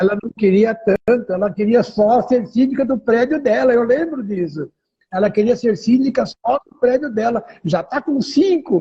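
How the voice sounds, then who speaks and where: Extremely high-pitched man's voice with a dark, mellow tone, lively intonation and big swings in loudness. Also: moderate pace. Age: 70s. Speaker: condominium manager. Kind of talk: interview.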